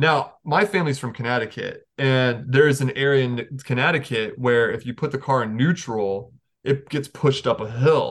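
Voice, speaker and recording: A man talks in a plain, everyday voice at a moderate pace. His pitch is medium, with ordinary pitch variation. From North Carolina. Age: 30s. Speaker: hardcore band musician. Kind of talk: casual chat.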